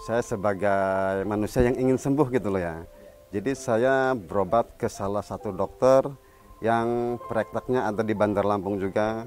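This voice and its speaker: Noticeable background noise sits behind a man with a fairly low pitch. He talks at a moderate pace with ordinary pitch variation. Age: 40s. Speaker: patient giving testimonial. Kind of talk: testimony. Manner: halting, many fillers.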